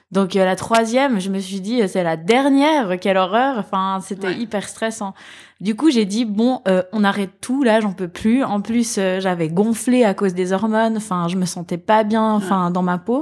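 With an unremarkable speaking voice, a woman talks at a fairly slow pace, her medium pitch showing ordinary pitch variation. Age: 30s. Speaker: mother of a child with cancer. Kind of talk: testimony. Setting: at her mother's home.

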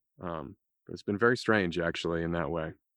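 Against a quiet background, a man with an American accent speaks at a moderate pace in a very deep, low pitch with fairly even intonation, the sound dry and close with no echo. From New England. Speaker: audiobook narrator and voice actor. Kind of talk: casual interview. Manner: halting.

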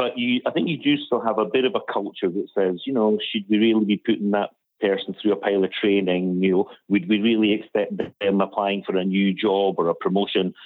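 With a Scottish accent, a man talks fairly quickly in a fairly low voice whose loudness stays very even. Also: ordinary pitch variation. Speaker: charity director. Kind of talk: caller question. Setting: phone call.

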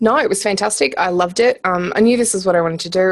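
Speaking with an Australian accent, a woman talks at a very fast pace. Her pitch is medium, with ordinary variation. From rural Australia. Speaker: entrepreneur. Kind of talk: interview.

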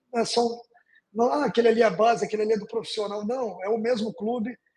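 Speech moves along at a fairly quick pace. The intonation is fairly even. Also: man. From northern Brazil, Porto Velho, Rondônia. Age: 40s. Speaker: football club executive. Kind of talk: interview.

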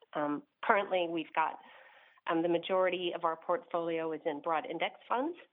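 In an American accent, a woman speaks in a normal speaking voice with ordinary pitch variation. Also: fairly low pitch for a woman, moderate pace. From Northern California. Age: 50s. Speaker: caller. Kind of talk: casual chat. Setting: phone call.

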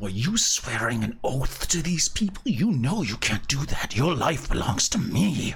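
Using a put-on character voice, a man talks at a fairly high pitch and a moderate pace with hardly any pauses over clear background noise. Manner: whispering; possessive, menacing.

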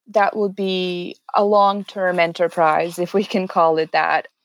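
A woman speaks with a Serbian accent. The recording is very clean with a silent background and a dry, close sound with no echo. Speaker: HR specialist. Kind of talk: interview.

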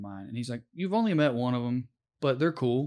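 The speaker has an American accent and an animated tone at a fairly quick pace. Pitch variation is ordinary, and the recording is very clean with a silent background. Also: man. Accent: Southern US, Tennessee, slight now. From rural Tennessee, US. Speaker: comedian and former public defender. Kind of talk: casual interview. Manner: animated, joking.

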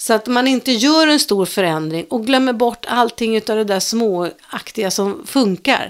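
A woman speaks in a plain, everyday voice with ordinary pitch variation. Her pace is fairly slow. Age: 60s. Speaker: podcast co-host. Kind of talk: casual chat.

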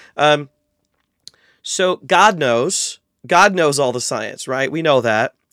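This voice has an American accent, heard on a very clean recording with a silent background and a dry, close sound with no echo. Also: man. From US Midwest, north central Ohio. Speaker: biblical scholar and Bible translator. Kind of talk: interview conversation.

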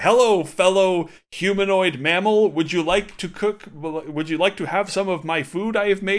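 A man speaks in a put-on character voice, pitched high. He keeps a moderate pace with hardly any pauses. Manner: stiff, robotic, awkwardly friendly.

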